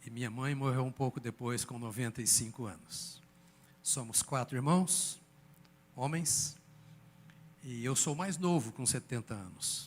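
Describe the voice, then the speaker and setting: Somewhat breathy speech at a fairly slow pace, with ordinary pitch variation and long, frequent pauses, comes through a very clean recording with a silent background. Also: man, medium pitch for a man. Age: 70s. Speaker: pastor. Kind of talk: sermon.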